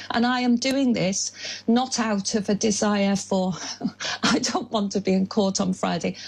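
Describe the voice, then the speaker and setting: A woman with a medium pitch, very even loudness, ordinary pitch variation, and a fairly slow pace, amid noticeable background noise. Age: 60s. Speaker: climate activist. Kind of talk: radio phone-in debate. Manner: halting.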